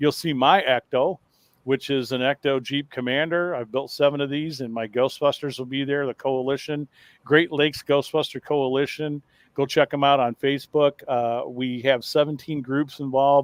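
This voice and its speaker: A man's voice sits fairly high in pitch, moving along at a moderate pace. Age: 60s. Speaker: paranormal show host. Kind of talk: casual chat. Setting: studio. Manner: animated.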